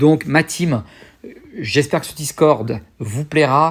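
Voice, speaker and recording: With ordinary pitch variation, a man's voice comes through somewhat breathy. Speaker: YouTuber. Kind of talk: casual vlog talk to viewers. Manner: fast; hesitant with many fillers.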